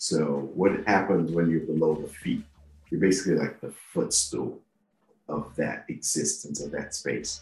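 At a fairly slow pace, a man speaks with a slight Nigerian accent. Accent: slight Nigerian (Yoruba). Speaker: podcast host. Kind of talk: personal storytelling monologue.

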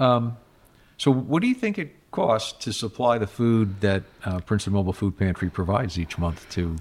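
Recorded very clean with a silent background, a man in a normal speaking voice talks at a fairly quick pace with lively intonation and a medium pitch. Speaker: podcast host and mayor. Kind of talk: casual interview.

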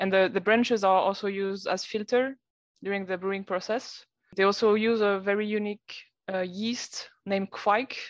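A woman with a French accent, monotone and flat in intonation, at a moderate pace over a quiet background. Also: medium pitch for a woman. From France, Lyon region. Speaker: brewer. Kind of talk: casual chat. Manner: halting.

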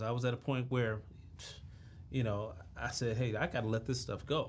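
Somewhat breathy, a man speaks at a moderate pace in a medium pitch. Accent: American. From Washington DC (Southeast). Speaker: entrepreneur. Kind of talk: interview.

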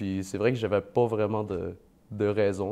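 A man with an unremarkable speaking voice and a fairly low pitch talks at a moderate pace with fairly even intonation over a quiet background. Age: 20s. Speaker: part-time real estate investor and banker. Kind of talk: casual interview.

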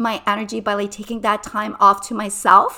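With monotone, flat intonation, a woman speaks in a bright, sharp tone. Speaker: business and lifestyle coach. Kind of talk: solo podcast monologue. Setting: at home, cozy corner with cushions and candles. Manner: high-energy.

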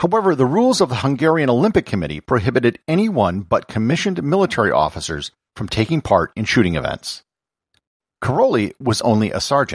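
With vocal fry and very wide pitch swings, a man talks at a fairly quick pace in a dry, close recording with no echo, very clean and with a silent background. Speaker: podcast host. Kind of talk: history documentary narration. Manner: steady, measured storytelling pace; clear, even and informative.

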